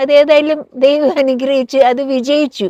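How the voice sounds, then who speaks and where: The recording is dry and close with no echo, carrying a woman's high-pitched voice. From Malaysia and Singapore. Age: 70s. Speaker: home baker and entrepreneur. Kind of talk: interview. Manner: code-switching Malayalam and English.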